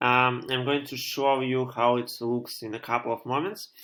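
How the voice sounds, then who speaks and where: A man with a Russian accent speaks at a fairly slow pace and medium pitch. His tone is bright and sharp, his intonation fairly even. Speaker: programmer live-streamer. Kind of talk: live coding stream tutorial. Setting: live stream at home. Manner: halting, many fillers.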